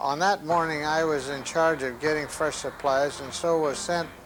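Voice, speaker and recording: A man's fairly high voice, fairly even in intonation and fairly slow in pace, with music in the background. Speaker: war veteran. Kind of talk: personal war testimony.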